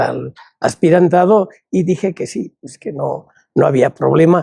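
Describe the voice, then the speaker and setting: A man at a very slow pace, dry and close with no echo. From Spain, Palencia (Castile). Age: 80s+. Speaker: religious brother and educator. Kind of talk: interview.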